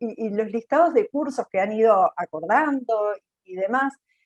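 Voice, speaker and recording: In a plain, everyday voice pitched fairly high, a woman speaks at a moderate pace with lively intonation, and the sound is dry and close, with no echo. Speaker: panelist from a job training institute. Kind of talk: webinar panel commentary.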